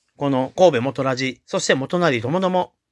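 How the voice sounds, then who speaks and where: A man with a plain, everyday voice speaks at medium pitch and a moderate pace in a dry, close sound with no echo, in a very clean recording with a silent background. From Chugoku region, western Japan. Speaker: podcast host. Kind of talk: solo podcast monologue. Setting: home. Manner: polite, formal.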